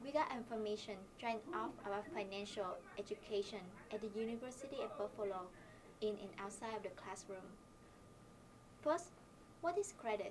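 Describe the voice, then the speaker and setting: In a Vietnamese accent, a woman with fairly high pitch and lively intonation talks at a fairly quick pace, broken by long, frequent pauses, over noticeable background noise. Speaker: university student. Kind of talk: scripted presentation.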